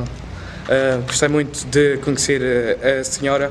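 Background noise is noticeable here. A man is talking. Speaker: YouTuber. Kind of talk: vlog narration.

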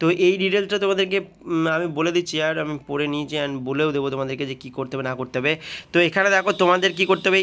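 Fairly even intonation marks a man's bright, sharp-toned speech. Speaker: gaming YouTuber. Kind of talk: game tutorial. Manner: casual, addresses viewers as brother. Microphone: sound quality a bit bad.

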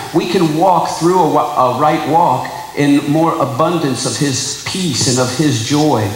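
A man speaks at a very slow pace amid light background noise and audible room echo. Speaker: preacher. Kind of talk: sermon.

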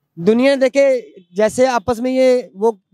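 Over a quiet background, a man speaks at an extremely high pitch in a dry sound with no echo. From Pakistan, Punjab. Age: 40s. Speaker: member of the public interviewed on the street; interviewee. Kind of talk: heated debate. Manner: animated. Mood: critical, opinionated. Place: market. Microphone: handheld.

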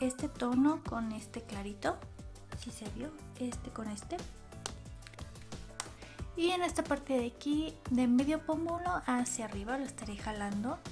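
Clear music plays behind a woman who speaks at a moderate pace with long, frequent pauses. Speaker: beauty vlogger. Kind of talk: tutorial. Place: home room. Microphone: phone near.

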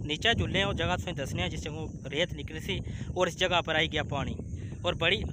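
The sound is dry, with no echo. A man talks over noticeable background noise. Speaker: vlogger. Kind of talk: casual vlog chat. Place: waterside. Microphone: phone near.

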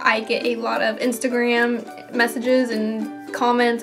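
Clear music plays in the background as a woman speaks. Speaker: gaming YouTuber. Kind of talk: tutorial explanation. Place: home room.

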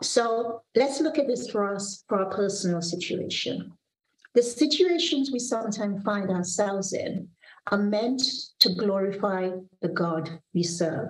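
A woman at a medium pitch, somewhat breathy, at a fairly slow pace with lively intonation. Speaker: pastor. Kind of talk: devotional sermon with prayer. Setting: video call from office. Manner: earnest, warm, measured preaching delivery. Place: home room. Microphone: video call.

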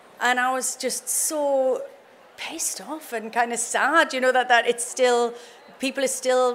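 Here a woman speaks at a fairly slow pace. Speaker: guest. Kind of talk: interview answer. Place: stage. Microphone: podium.

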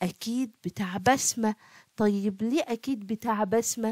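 A woman with an Egyptian accent speaks at a very slow pace with a fairly high pitch, and the sound is dry and close with no echo. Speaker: primary school math teacher. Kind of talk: tutorial. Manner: animated.

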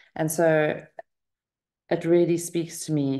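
Against a quiet background, a woman speaks in a monotone, flat voice. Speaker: meditation group host. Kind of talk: casual talk to an online group. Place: home room. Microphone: webcam.

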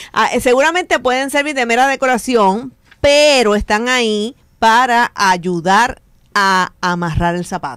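A woman with an unremarkable speaking voice and fairly high pitch talks at a fairly slow pace with lively intonation. The background is quiet and the sound is dry, with no echo. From Puerto Rico. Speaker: radio host. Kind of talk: casual chat. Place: studio.

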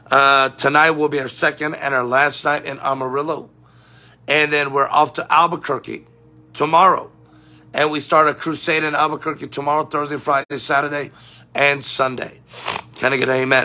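At a moderate pace, a man delivers his words in a monotone, flat intonation. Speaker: preacher livestreaming. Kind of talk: sermon-style livestream talk. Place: home room. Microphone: phone near.

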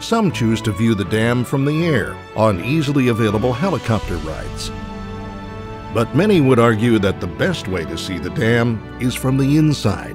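A man's medium-pitched voice at a moderate pace, lively intonation and music in the background. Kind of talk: documentary narration.

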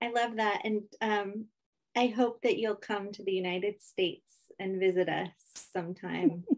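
In a quiet background, a woman talks at a moderate pace with fairly even intonation. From US Pacific Northwest (Lummi Nation); US Pacific Northwest. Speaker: poet and moderator; poet, moderator. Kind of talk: interview moderation; poetry reading. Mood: warm, friendly. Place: home room. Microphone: video call.

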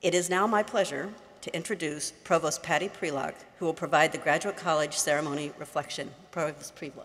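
Fairly quick speech from a woman, fairly low in pitch, with ordinary pitch variation. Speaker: university dean. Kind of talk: ceremony emcee, formal announcements. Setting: stage with audience. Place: hall. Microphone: podium.

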